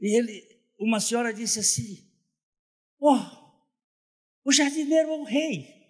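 Over a quiet background, a man talks at a very slow pace with an extremely high pitch for a man, ordinary pitch variation, and long, frequent pauses. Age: 70s. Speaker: pastor. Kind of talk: sermon. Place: hall. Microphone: handheld.

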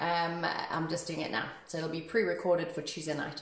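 A woman speaks at a moderate pace, with audible room echo. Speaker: fitness instructor. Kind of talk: class instruction. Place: gym. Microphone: phone near.

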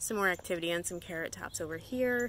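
An ordinary speaking voice at a moderate pace, dry with no echo, over light background noise. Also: woman. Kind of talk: casual vlog chat. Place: garden. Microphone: phone near.

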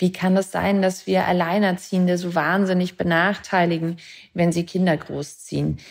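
A woman speaks at a moderate pace in a fairly low pitch. Her intonation is monotone and flat. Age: 30s. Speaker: author and film director. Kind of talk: interview podcast.

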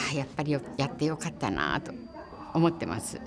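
Against crowd noise in the background, a woman with a Hiroshima accent speaks at a moderate pace with lively intonation. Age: 80s+. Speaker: atomic bomb survivor. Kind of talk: interview answer. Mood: earnest, solemn appeal. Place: meeting room.

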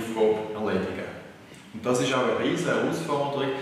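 A man talks with fairly even intonation in a room with strong echo. Faint music plays in the background. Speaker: systems engineering lecturer. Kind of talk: interview answer. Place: workshop.

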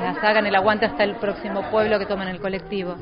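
A woman speaks over noticeable background noise. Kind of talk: interview answer. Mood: mildly frustrated about funding. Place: hall. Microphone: handheld.

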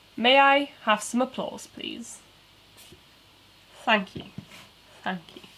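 Speaking in a British accent, a woman uses a high voice with ordinary pitch variation. Her pace is very slow, with long, frequent pauses. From UK. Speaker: toy building streamer. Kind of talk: casual live stream chat. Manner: animated. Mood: relaxed, playful. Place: home room.

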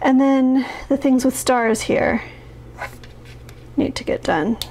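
A woman talks at a very slow pace with a high pitch and ordinary pitch variation. Light background noise sits behind her. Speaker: planner vlogger. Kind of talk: casual vlog chat. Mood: overwhelmed, slightly rueful.

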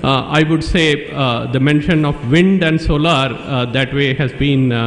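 A man at a moderate pace, the room echo clearly audible. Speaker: conference speaker. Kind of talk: conference presentation. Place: hall. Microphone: podium.

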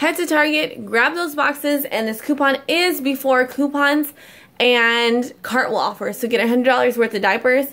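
Speaking at a fairly slow pace, a woman uses a high voice with ordinary pitch variation. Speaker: couponing vlogger. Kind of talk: casual vlog chat. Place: home room. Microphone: phone near.

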